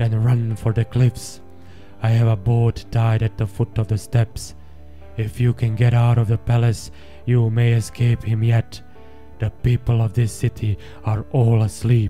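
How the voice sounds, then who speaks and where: Over clear background music, a man does a put-on character voice at medium pitch and a moderate pace. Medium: read story. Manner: blunt, terse.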